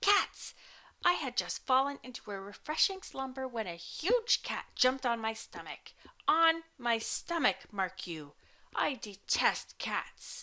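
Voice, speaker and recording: A female-sounding, put-on character voice growls in a raised, projected way at a high pitch. The pace is fairly slow. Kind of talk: old-fashioned, formal. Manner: snarling, indignant.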